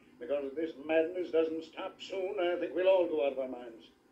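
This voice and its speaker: Light background noise sits under speech at a moderate pace. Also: man. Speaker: radio drama actor playing police commissioner. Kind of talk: dramatic radio acting. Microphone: old recording.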